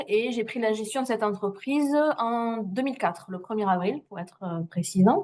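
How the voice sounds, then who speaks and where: A woman's fairly high voice at a moderate pace. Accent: Toulouse. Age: 40s. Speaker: trainee, former business owner. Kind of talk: testimony. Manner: hesitant, many fillers.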